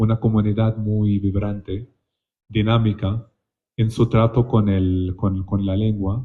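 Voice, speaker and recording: At a very slow pace, a man speaks in a fairly low pitch. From Palestine. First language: Palestinian colloquial Arabic (speaking Spanish). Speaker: literary translator. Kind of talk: panel discussion. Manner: halting, with frequent repetitions and fillers.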